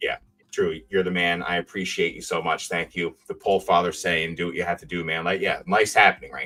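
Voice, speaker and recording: Someone talks at a fairly quick pace with music in the background. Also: man. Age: 30s. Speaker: streamer and ironworker, trading card collector. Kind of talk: casual chat. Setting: live stream.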